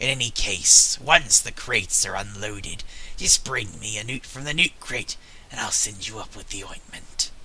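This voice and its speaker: A man puts on a raspy character voice at medium pitch, with clear background noise behind him. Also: moderate pace. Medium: game stream.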